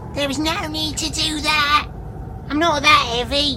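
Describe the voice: Over loud background noise, a woman does a put-on character voice, high in pitch, at a moderate pace.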